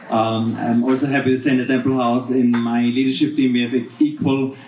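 There is noticeable background noise behind the speaker. He is a man with a medium pitch. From Austria. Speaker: hotel manager. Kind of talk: panel discussion. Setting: stage with audience.

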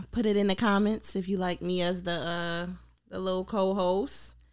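Woman with an ordinary speaking voice, medium pitch and fairly even intonation. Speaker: new co-host. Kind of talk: casual chat.

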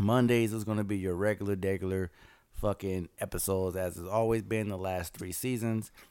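A fairly quick delivery in a dark, mellow tone with a Southern US accent, flat monotone intonation, and a very clean recording over a silent background. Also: man, fairly low pitch for a man. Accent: sounds country (Southern-sounding). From Los Angeles. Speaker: podcast host. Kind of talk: casual chat.

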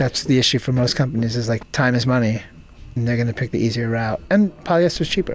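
A man speaks at a very fast pace with a medium pitch and ordinary pitch variation. Noticeable background noise runs under the recording. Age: 40s. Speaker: clothing brand founder. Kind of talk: interview.

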